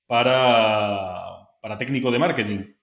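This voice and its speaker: The pace is fairly slow as a man talks. Room echo can be clearly heard. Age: 30s. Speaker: marketing director. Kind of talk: interview.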